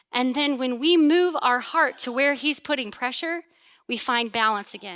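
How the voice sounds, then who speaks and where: Loud and animated, a woman speaks at a moderate pace with lively intonation and a high pitch. Her tone is bright and sharp in a very clean recording with a silent background. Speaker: pastor. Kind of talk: sermon.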